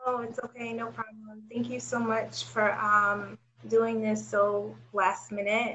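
Over noticeable background noise, a woman speaks at a fairly slow pace in a fairly high pitch with fairly even intonation. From Nigeria. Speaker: podcast host interviewer. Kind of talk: casual interview.

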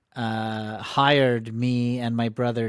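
A man with a normal speaking voice and an American accent talks at a medium pitch with fairly even intonation. The recording is very clean with a silent background and a dry, close sound with no echo. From US Northeast, Connecticut. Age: 50s. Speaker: comedian and improv teacher. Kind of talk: casual interview chat.

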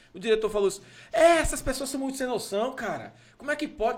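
Against noticeable background noise, a man talks at a very fast pace with very wide pitch swings. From Goiás, Brazil. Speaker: podcast host. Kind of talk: casual chat.

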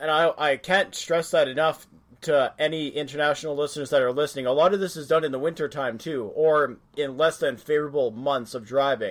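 With a Canadian accent, a man talks at a fairly quick pace in a plain, everyday voice, his pitch fairly high and his intonation fairly even, on a very clean recording with a silent background. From Western Canada. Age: 30s. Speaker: podcast host. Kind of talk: casual interview chat.

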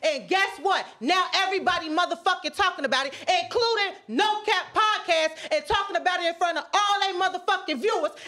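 This woman's voice is extremely high, bright and sharp, raised and projected. She talks at a fairly quick pace with hardly any pauses and ordinary pitch variation. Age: 20s. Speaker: podcast co-host. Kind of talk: casual chat.

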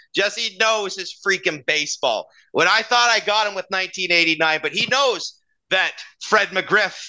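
A raised, projected voice with a Canadian accent, a bright, sharp tone, lively intonation and a fairly slow pace over a quiet background. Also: man. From Canada. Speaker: baseball podcast co-host. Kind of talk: casual sports chat.

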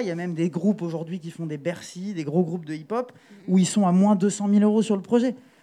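A man speaks at a fairly quick pace with a high pitch. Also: big swings in loudness. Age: 30s. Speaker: booking agent and festival programmer. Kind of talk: panel talk.

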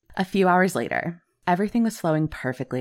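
A woman's very fast, dramatic and animated delivery with lively intonation, on a very clean recording with a silent background. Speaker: podcast host and storyteller. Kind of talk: true-crime horror narration, first-person as a newspaper reporter. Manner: dramatic, suspenseful storytelling pace; animated, expressive, laughs often.

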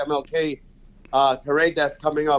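Using a plain, everyday voice, a man talks at a moderate pace with a fairly high pitch. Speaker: young professionals network leader. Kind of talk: radio call-in. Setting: phone call.

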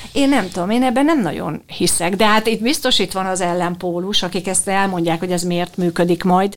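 A woman at medium pitch talks in an unremarkable speaking voice at a moderate pace, with ordinary pitch variation and hardly any pauses. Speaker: dubbing director. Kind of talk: interview.

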